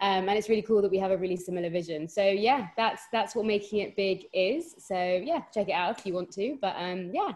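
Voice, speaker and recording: With a strong London accent, a woman at medium pitch speaks at a fairly quick pace with ordinary pitch variation and hardly any pauses. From London, England. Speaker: podcast co-host, guest. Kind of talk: casual podcast chat.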